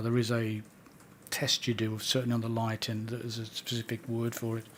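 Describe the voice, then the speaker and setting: A soft-spoken man at medium pitch, at a fairly quick pace. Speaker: witness at a public inquiry. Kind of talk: inquiry testimony. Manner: halting.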